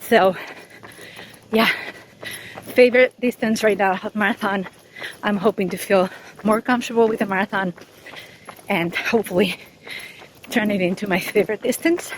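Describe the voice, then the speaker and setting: A woman speaks at a medium pitch and a moderate pace, with ordinary pitch variation. Long, frequent pauses and noticeable background noise mark the clip. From Spain, Madrid. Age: 40s. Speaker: running YouTuber and podcast host. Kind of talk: interview answers. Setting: outdoors, running.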